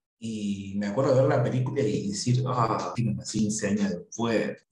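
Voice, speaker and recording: A man speaks at a fairly slow pace with a somewhat breathy voice. His intonation stays fairly even. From Argentina, Buenos Aires. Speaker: writer. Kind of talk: casual interview.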